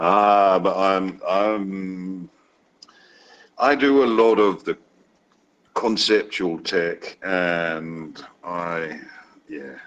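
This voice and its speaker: Delivery is very slow, with long, frequent pauses. Pitch varies in an ordinary way. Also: man, very deep, low pitch for a man. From Wales, raised in Denmark. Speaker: crypto project developer. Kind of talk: casual interview chat. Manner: halting, repetitive.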